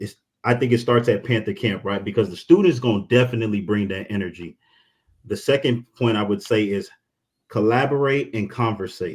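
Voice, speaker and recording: A man talks in an unremarkable speaking voice at a fairly quick pace. His pitch is fairly low, with ordinary pitch variation. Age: 30s. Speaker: university alumnus panelist. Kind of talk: town hall panel discussion.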